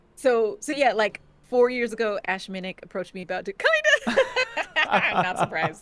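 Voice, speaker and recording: A woman with a slight New Jersey accent, fairly high pitch, ordinary pitch variation, a moderate pace and big swings in loudness, over noticeable background noise. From New Jersey, US. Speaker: actor and game master. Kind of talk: casual interview chat.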